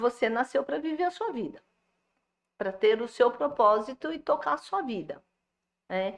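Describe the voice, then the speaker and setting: A high woman's voice whose pitch leaps very widely up and down. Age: 60s. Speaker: psychoanalyst and caregiver-health specialist. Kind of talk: podcast interview.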